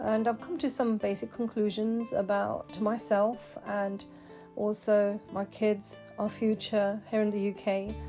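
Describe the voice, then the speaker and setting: Very slow speech in a British accent, with ordinary pitch variation and music in the background. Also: woman. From England, UK. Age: 50s. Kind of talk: casual talk to camera.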